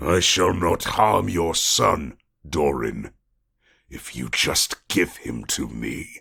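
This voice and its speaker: A man in a put-on character voice growls and booms at a very slow pace, his very deep, low pitch carried by lively intonation and big swings in loudness. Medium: read story. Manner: commanding, imperious.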